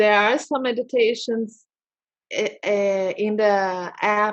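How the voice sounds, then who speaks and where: The woman speaks very slowly with a non-native accent. Her fairly high pitch shows ordinary pitch variation. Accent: foreign accent in English. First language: Portuguese. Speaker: holistic therapist. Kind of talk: interview. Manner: halting.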